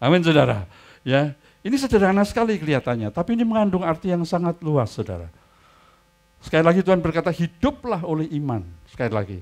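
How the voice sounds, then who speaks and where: This man talks at a very fast pace in a high pitch, his voice making very wide pitch swings. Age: 70s. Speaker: pastor. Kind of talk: sermon.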